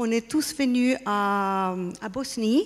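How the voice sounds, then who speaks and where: A woman with a non-native accent speaks with ordinary pitch variation. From Spain and Austria. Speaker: artist and pyramid project representative. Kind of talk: conference talk. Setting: stage with audience. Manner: halting.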